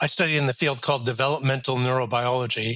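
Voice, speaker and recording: The man's medium-pitched voice has a bright, sharp tone and a monotone, flat intonation. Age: 70s. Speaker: retired neuroscience professor. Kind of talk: interview.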